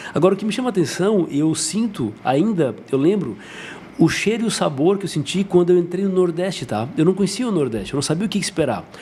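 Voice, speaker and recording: A high-pitched male voice at a fairly quick pace over noticeable background noise. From southern Brazil, Santa Catarina (Jaguaruna, south coast). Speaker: dentist. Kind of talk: podcast interview.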